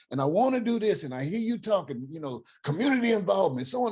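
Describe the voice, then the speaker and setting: This voice has an American accent and a dark, mellow tone. It is somewhat breathy, with very wide pitch swings. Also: man. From US West Coast (Oakland, California). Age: 60s. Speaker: caller. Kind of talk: Q&A question to a guest speaker. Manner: animated.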